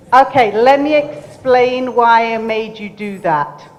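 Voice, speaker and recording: Over audible room echo, a woman with a fairly high pitch speaks at a very slow pace. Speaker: entrepreneur and keynote speaker. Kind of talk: motivational talk. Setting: stage with audience. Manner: animated.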